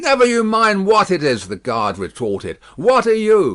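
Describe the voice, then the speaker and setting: In a put-on, gruff character voice, a man projects loudly at a moderate pace, pitched high. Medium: read story. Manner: suspicious, blustering.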